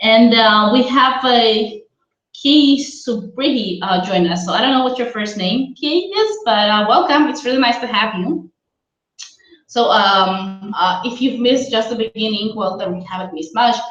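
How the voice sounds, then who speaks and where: At a moderate pace, a woman with a non-native accent talks in a fairly high voice with ordinary pitch variation. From Israel. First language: not English; born in Russia, raised in Israel. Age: 30s. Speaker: career coach. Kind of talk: webinar presentation. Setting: live video webinar, laptop. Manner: hesitant with many fillers.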